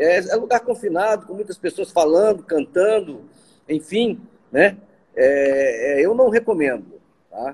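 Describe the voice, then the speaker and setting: A man's high-pitched voice at a very slow pace, with very wide pitch swings and long, frequent pauses. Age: 60s. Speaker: physician. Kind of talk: interview.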